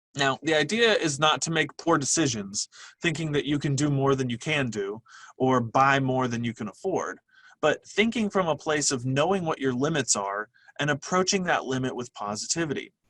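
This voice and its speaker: A man's plain, everyday voice, fairly high-pitched for a man, with lively intonation, a moderate pace, and a dry, close sound with no echo. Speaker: webinar presenter, workplace trainer. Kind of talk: webinar lecture. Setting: online webinar from a computer.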